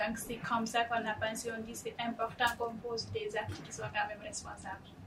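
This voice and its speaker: Amid noticeable background noise and audible room echo, a woman with a fairly high pitch speaks flatly in a monotone at a moderate pace, her loudness swinging widely. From Guinea, West Africa. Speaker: startup founder. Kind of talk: panel discussion. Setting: studio.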